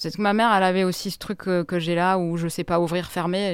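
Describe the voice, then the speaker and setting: Over a silent background on a very clean recording, a woman talks at a fairly quick pace in a fairly low voice with monotone, flat intonation. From Grenoble, France. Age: 40s. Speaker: journalist. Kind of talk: interview. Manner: halting.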